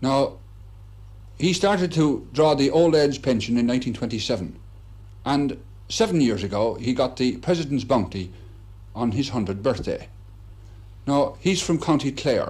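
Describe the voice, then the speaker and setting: Pausing long and often, a man talks at a moderate pace with lively intonation and vocal fry. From Ireland. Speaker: reporter. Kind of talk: broadcast interview questions. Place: home room. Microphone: old recording.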